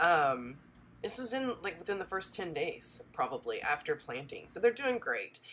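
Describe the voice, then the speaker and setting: A woman's medium-pitched voice with vocal fry, very wide pitch swings, and a moderate pace. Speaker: homesteader vlogger. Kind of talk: casual video tutorial. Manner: friendly, conversational.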